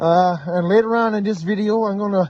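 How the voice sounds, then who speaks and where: A man speaks loudly. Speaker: trapper, outdoor vlogger. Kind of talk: casual vlog narration. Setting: outdoors, cold trapline. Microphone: phone recording, weak in cold.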